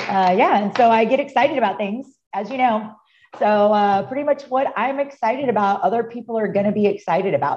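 A woman speaks in a plain, everyday voice at a fairly high pitch. She goes at a fairly quick pace with ordinary pitch variation. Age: 40s. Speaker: DJ. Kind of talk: casual chat.

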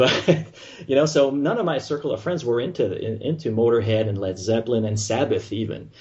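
A man speaks at a fairly quick pace with a French Canadian accent, his voice somewhat breathy and his pitch varying in an ordinary way. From Montreal, Canada. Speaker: radio show host, metal music fan.

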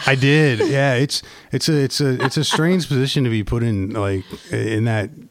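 Speaking with an American accent, a man keeps a medium pitch, ordinary pitch variation, very even loudness and a moderate pace. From California, Virginia. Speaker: singer-songwriter. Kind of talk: casual chat. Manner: halting.

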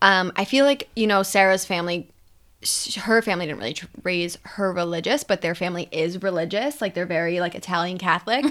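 An unremarkable speaking voice, female, with an American accent, medium pitch and fairly quick pace. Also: ordinary pitch variation. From US Midwest, Ohio. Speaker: podcast guest. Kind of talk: casual chat.

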